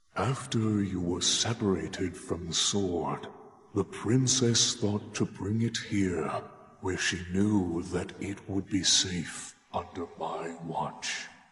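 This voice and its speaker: A man performs a put-on character voice with a very deep, low pitch. He speaks very slowly in a gentle tone. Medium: video game. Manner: slow, gentle, grandfatherly.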